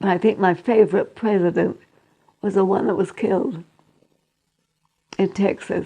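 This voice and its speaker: At a moderate pace, a woman speaks in a dark, mellow, medium-pitched voice with monotone, flat intonation and long, frequent pauses. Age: 80s+. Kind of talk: interview answer.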